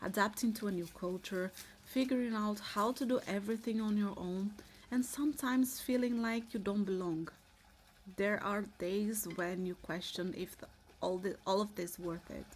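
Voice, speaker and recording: A woman with a medium pitch speaks at a moderate pace, somewhat breathy, with ordinary pitch variation. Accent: Brazilian. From Brazil. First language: Portuguese. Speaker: vlogger. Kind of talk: casual vlog talk to camera. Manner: halting, with restarts and fillers.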